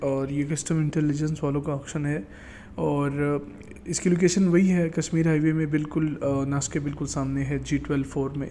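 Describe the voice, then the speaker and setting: A man's fairly high pitch with a dark, mellow tone and monotone, flat intonation. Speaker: auctioneer and car auction commentator. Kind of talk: casual talk to camera, informative auction preview.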